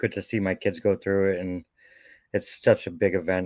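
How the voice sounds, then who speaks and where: With a Boston accent, a man speaks at a fairly quick pace in a very deep, low voice, the sound dry and close with no echo. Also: very clean recording, silent background. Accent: Boston accent, noticeable. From Boston, Massachusetts. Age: 40s. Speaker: lawn care business owner. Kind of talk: interview.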